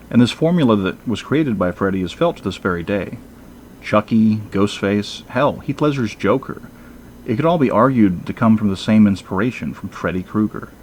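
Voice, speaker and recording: In a normal speaking voice, a man talks at a fairly low pitch and a moderate pace with lively intonation. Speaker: movie reviewer. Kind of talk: review commentary.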